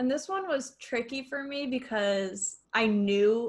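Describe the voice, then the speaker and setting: This woman has a plain, everyday voice. It sits fairly high in pitch and shows ordinary pitch variation. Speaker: podcast co-host. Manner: casual, chatty, uses lots of filler words.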